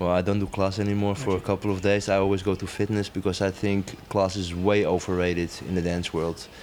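Very deep, low male speech with a Dutch accent, monotone and flat, at a very fast pace with hardly any pauses. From Netherlands, Amsterdam. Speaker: dancer and choreographer. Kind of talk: interview.

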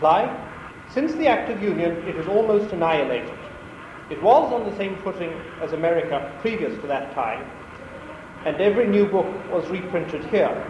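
Against noticeable background noise, a man with a high voice and lively intonation speaks at a fairly quick pace, broken by long, frequent pauses. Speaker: academic researcher. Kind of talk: lecture. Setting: lecture hall with audience.

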